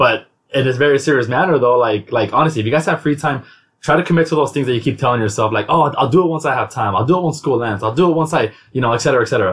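At a very fast pace, a man speaks in a somewhat breathy, medium-pitched voice with ordinary pitch variation. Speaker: podcast host. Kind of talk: casual chat. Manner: fast talker.

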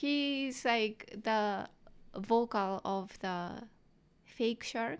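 With a strong Japanese accent, a woman speaks at a very slow pace in a fairly high voice with ordinary pitch variation. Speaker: comedian. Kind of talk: casual interview. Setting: studio.

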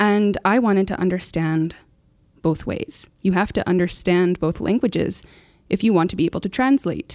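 Very cleanly recorded against a silent background, a woman with a medium pitch and an unremarkable speaking voice talks at a moderate pace with ordinary pitch variation. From Canadian prairies, First Nations reserve. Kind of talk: casual chat.

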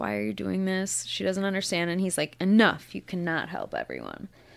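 The woman's voice comes through on a very clean recording with a silent background. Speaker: podcast guest. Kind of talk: casual chat. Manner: loud.

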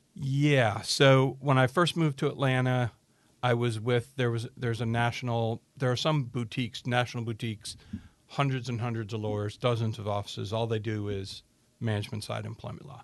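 A man with an American accent speaks in a normal speaking voice at medium pitch, keeping a fairly quick pace and fairly even intonation. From upstate New York. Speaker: employment lawyer. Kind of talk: casual interview.

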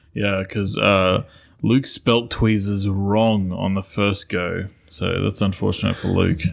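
Spoken very slowly in a flat monotone with an Australian accent, on a very clean recording with a silent background. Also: man, fairly low pitch for a man. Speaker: podcast co-host. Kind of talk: casual chat.

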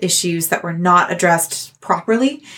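With a Canadian accent, a woman speaks at a moderate pace in an unremarkable speaking voice with a fairly low pitch. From Canada. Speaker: theatre artist and podcaster. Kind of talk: casual interview.

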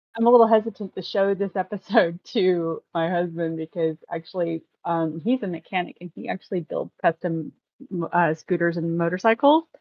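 A woman's ordinary speaking voice, fairly low in pitch, with ordinary pitch variation at a moderate pace. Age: 40s. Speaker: podcast guest. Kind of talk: casual chat.

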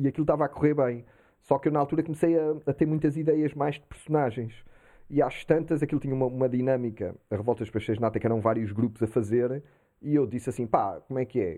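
Talking very fast, a man keeps his pitch variation ordinary. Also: medium pitch for a man. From Portugal. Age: 40s. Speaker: comedian and musician. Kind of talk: casual chat.

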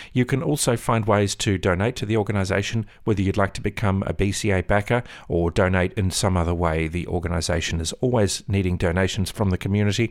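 Delivered in an Australian accent at a fairly quick pace, the speech has hardly any pauses and ordinary pitch variation. The recording is very clean, with a silent background. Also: man, fairly low pitch for a man. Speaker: podcast host. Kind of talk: interview.

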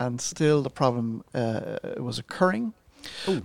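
At a moderate pace and medium pitch, a man speaks with lively intonation in a dry, close sound with no echo, though the background noise is noticeable. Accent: Irish. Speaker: podcast co-host. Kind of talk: casual chat.

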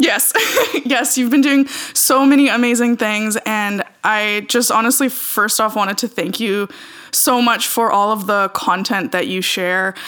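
The speaker moves at a fairly slow pace with ordinary pitch variation. Noticeable background noise sits behind the voice. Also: woman, fairly high pitch for a woman. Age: 30s. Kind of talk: casual interview.

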